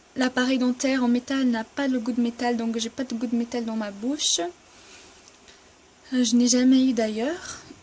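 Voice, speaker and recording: Over noticeable background noise, a woman with a high pitch speaks at a moderate pace in a monotone, flat intonation, leaving long, frequent pauses. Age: 20s. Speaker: vlogger. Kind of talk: casual vlog Q&A. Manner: halting, hesitant.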